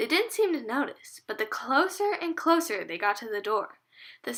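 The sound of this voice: An unforced reading voice over a quiet background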